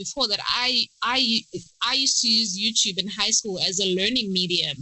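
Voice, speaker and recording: Over noticeable background noise, a woman with a fairly high pitch talks at a moderate pace in an animated tone. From South Africa, Durban. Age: 20s. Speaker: PhD candidate in virology and science YouTuber. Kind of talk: podcast interview. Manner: animated, many fillers.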